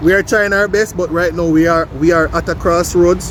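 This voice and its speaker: With a Jamaican accent, a man talks at a moderate pace and a high pitch over noticeable background noise. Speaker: vlogger. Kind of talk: casual vlog chat.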